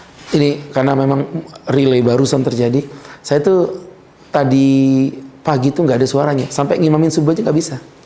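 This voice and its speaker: Against audible room echo, a man talks in a fairly high pitch with fairly even intonation. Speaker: Islamic preacher. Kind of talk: religious lecture. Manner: casual, conversational.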